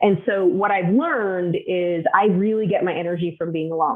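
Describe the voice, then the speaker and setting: Her pitch is fairly low for a woman, and she speaks at a fairly slow pace. Intonation stays fairly even. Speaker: executive business coach. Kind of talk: interview. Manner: loud.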